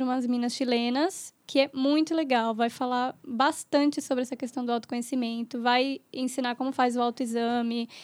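Monotone, flat intonation at a moderate pace. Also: woman. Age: 20s. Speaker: midwife. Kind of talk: casual chat.

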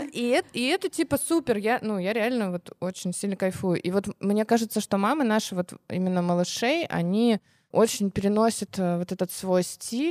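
A woman speaks at a moderate pace in a plain, everyday voice, medium in pitch with lively intonation. The recording is very clean with a silent background and has a dry, close sound with no echo. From Russia, small village. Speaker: co-founder of a children's clothing brand. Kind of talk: casual interview.

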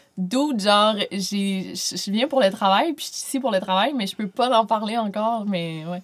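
A woman's medium-pitched voice with ordinary pitch variation, big swings in loudness, a fairly slow pace and hardly any pauses, over music in the background. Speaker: YouTuber and author. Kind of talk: casual chat.

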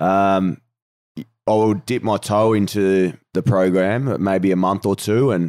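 A man with an Australian accent speaks in a dark, mellow tone and ordinary pitch variation, recorded very cleanly against a silent background with a dry, close sound and no echo. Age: 30s. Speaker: professional footballer and podcast co-host. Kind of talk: casual chat.

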